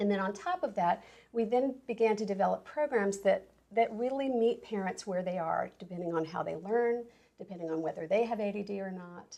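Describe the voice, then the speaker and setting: A woman's medium-pitched voice with an American accent, dark and mellow in tone, at a fairly quick pace with ordinary pitch variation. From US South. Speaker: parenting coach. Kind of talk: interview.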